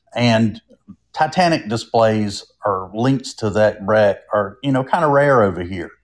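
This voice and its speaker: With a North Carolina accent, a man speaks at medium pitch with lively intonation in a very clean recording with a silent background. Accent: Southern US, North Carolina. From North Carolina, Durham. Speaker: creator of a roadside travel page. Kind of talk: casual interview.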